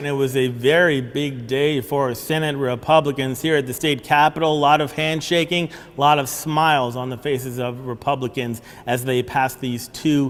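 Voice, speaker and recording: A man with a plain, everyday voice speaks at a moderate pace and medium pitch. His intonation is fairly even. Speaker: television news reporter. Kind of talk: TV news reporting.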